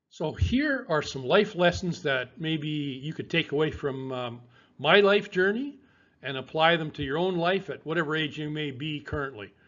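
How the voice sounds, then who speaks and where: In a Canadian accent, a man with an ordinary speaking voice talks at a moderate pace, his pitch fairly high with ordinary variation. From Western Canada. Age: 60s. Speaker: fitness coach. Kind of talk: personal testimony to camera.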